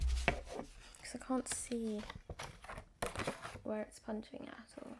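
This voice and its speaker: A very slow pace against noticeable background noise. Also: woman. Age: 20s. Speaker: ASMR creator / vlogger. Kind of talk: casual talk to camera, ASMR-style vlog.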